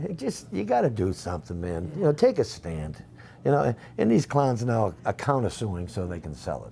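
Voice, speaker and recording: A man's dark, mellow voice at a fairly low pitch, with very wide pitch swings, vocal fry and a moderate pace. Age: 60s. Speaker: talk show co-host. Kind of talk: casual chat. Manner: animated.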